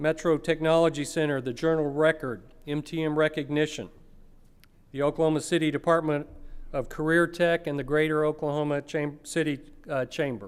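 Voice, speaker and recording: In a very clean recording with a silent background, a man with an ordinary speaking voice talks at a moderate pace, fairly high in pitch with fairly even intonation. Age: 60s. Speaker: foundation chairman and conference host. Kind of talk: conference opening remarks.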